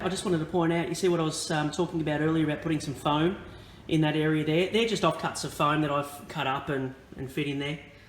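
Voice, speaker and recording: Amid noticeable background noise and audible room echo, a man talks at a very fast pace with fairly even intonation and a fairly high pitch. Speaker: model railway hobbyist. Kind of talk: tutorial. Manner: hesitant, many fillers.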